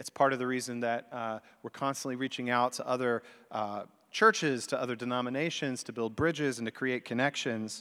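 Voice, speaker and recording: A man with an American accent, medium pitch and a bright, sharp tone, at a fairly quick pace on a very clean recording with a silent background. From US South. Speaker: pastor. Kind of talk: sermon. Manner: conversational with hesitations.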